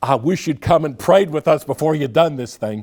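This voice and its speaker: A man's put-on character voice, squeaky and fairly high, at a moderate pace with ordinary pitch variation. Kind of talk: pious, disapproving.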